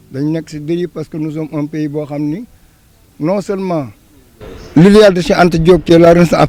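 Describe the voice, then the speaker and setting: Fairly quick, fairly evenly intoned speech from a man with a high pitch. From Senegal. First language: Wolof (speaking French). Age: 60s. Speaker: senior citizen interviewee. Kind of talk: street interview. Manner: halting, repeats words.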